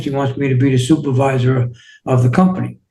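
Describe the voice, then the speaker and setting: A man's medium-pitched, somewhat breathy voice in a New York accent, with monotone, flat intonation. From New York City, Queens. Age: 60s. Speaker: entrepreneur and healing coach. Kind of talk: interview.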